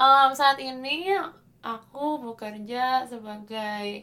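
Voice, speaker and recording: A woman's bright, sharp tone moves at a very slow pace with ordinary pitch variation. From Indonesia. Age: 20s. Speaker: opera singer. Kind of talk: casual chat.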